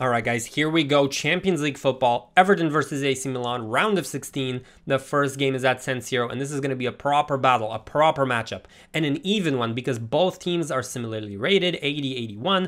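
A man's speech moves at a fairly quick pace, with the background quiet. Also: ordinary pitch variation. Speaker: gaming YouTuber. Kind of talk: video game commentary, part casual chat, part live match commentary. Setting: home recording with gameplay footage. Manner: animated, excited play-by-play with quick reactions during matches; conversational, analytical when going over stats.

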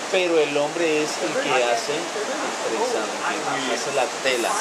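A man is speaking while loud background noise fills the recording. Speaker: trekking guide. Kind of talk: lecture. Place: open country. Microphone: camera far.

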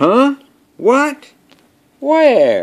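This man's voice is pitched extremely high. It is a put-on character voice. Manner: startled, waking up confused.

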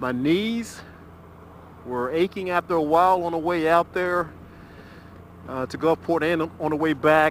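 A man speaks with a high pitch at a fairly slow pace. The sound is dry with no echo, over light background noise. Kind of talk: casual vlog chat. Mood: relaxed, satisfied. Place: motorbike. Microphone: helmet.

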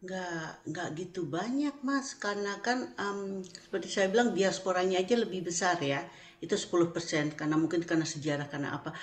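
A woman at a fairly quick pace, lively in intonation, with hardly any pauses. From Indonesia, then Netherlands from age 10. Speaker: Indonesian diaspora member, caterer; guest. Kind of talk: interview. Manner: halting. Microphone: video call.

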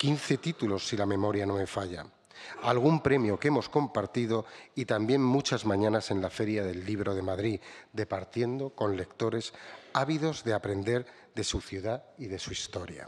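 A man at a fairly low pitch and a moderate pace. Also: ordinary pitch variation. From Spain. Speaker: book publisher. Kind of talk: prepared speech read aloud. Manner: formal. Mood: formal, grateful. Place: hall. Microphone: podium.

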